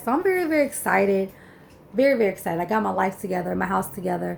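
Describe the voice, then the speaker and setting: A woman talks at a fairly quick pace, her tone animated and her intonation lively. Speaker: penny shopping YouTuber. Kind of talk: casual haul video chat. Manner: rambling, animated; fast when irritated.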